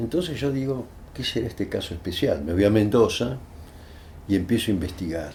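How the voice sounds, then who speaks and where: Lively intonation marks this man's fairly low, somewhat breathy voice. His tone is dark and mellow, and his pace is moderate. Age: 80s+. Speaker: human rights lawyer. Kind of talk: interview answer.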